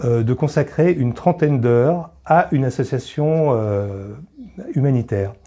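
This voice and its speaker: Talking at a fairly slow pace, a man has a medium pitch, a dark, mellow tone and ordinary pitch variation. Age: 60s. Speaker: charity volunteer, retiree. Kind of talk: interview testimony. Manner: hesitant, many filler pauses.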